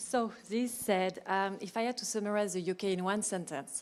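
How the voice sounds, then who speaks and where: Speaking with a strong French accent, a woman keeps a medium pitch and fairly even intonation on a very clean recording with a silent background. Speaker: business panelist. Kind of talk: panel discussion.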